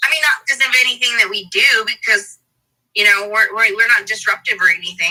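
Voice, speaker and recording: A woman with a plain, everyday voice speaks fairly quickly, her fairly high pitch rising and falling in a lively way. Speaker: podcast host. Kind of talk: podcast interview.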